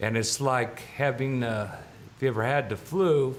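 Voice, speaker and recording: Audible room echo surrounds a man speaking at a medium pitch with ordinary pitch variation. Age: 60s. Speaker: public commenter. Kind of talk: testimony.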